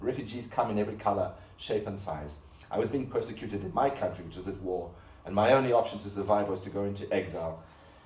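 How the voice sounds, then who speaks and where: Amid audible room echo, a man talks very fast in a dark, mellow, somewhat breathy voice with ordinary pitch variation. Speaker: artist. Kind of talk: lecture.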